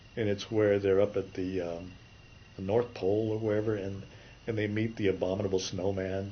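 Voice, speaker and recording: Here a man talks at a fairly quick pace in a somewhat breathy voice. His pitch is fairly low and his intonation monotone and flat. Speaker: animation story artist. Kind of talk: interview.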